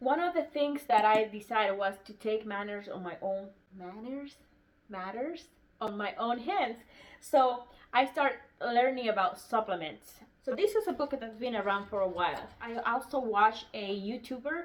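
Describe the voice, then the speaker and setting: A woman with a non-native accent speaks at a fairly high pitch and moderate pace. Her intonation is lively, with big swings in loudness. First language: non-English. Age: 40s. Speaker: homesteading YouTuber. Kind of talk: casual book review vlog. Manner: halting, with fillers.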